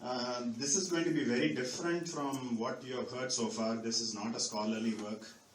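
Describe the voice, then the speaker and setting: A man speaks at a moderate pace with a medium pitch and ordinary pitch variation. The recording has audible room echo and noticeable background noise. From Chennai, India. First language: Marathi. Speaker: speaker at a spiritual gathering. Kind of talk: personal talk to an audience. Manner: halting, many fillers.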